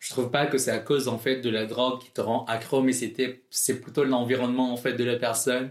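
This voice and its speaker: Here a man talks fairly quickly at a medium pitch, barely pausing, with big swings in loudness. His intonation stays monotone and flat. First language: not French (speaking French). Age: 20s. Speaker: drag queen. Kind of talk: interview.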